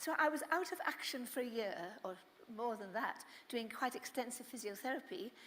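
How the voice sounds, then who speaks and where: Pitched high, a woman with a British accent talks at a fairly quick pace with lively intonation. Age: 80s+. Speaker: motivational speaker, skydiver. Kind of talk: inspirational talk.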